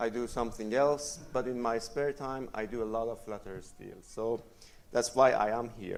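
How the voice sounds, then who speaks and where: Pitched in the middle and using fairly even intonation, a man talks at an average speed as echo from the room is heard. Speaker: conference speaker, software developer. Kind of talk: conference talk. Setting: stage with audience. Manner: loud.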